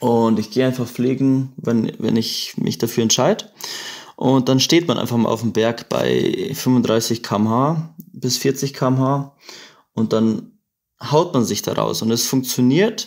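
A man at a medium pitch, very slow pace and ordinary pitch variation. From Bavaria, Chiemgau. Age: 20s. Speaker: paraglider pilot. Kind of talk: casual chat.

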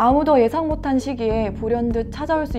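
A woman with ordinary pitch variation over clear music in the background. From North Korea (defected to South Korea). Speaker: university student studying North Korean studies, webinar speaker. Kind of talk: webinar presentation. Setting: online webinar. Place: studio. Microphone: lapel.

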